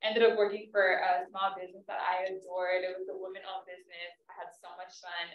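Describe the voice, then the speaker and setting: Very fast delivery with big swings in loudness. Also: woman, medium pitch for a woman. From southeast San Diego. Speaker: panelist, career professional. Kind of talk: panel discussion. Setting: live event with in-person and online audience. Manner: animated.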